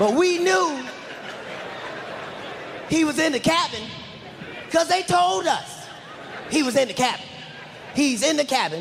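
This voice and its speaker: A man's extremely high voice with very wide pitch swings and long, frequent pauses, against noticeable background noise. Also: moderate pace. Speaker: stand-up comedian. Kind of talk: stand-up comedy routine.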